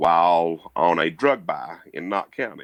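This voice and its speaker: The man's pitch is very deep and low. He speaks at a fairly slow pace in a dry, close sound with no echo. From Kentucky. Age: 30s. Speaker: retired police officer and musician. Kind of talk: podcast interview. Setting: video call from his bedroom.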